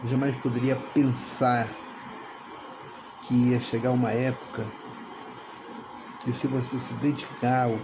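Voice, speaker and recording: A man at medium pitch speaks at a very slow pace. Audible room echo and noticeable background noise are present. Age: 60s. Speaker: veteran dance teacher. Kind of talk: testimonial.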